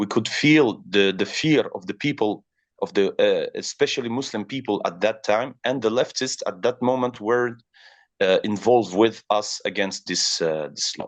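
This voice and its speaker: Medium-pitched male voice at a moderate pace, with ordinary pitch variation. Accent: French. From France. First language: French. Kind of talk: interview. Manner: halting, many fillers.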